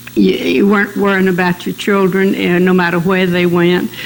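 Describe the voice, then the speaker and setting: A South Carolina accent over noticeable background noise. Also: woman. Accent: Southern US (South Carolina). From US South, Mullins, South Carolina. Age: 90s. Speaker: oral history interviewee. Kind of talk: oral history interview.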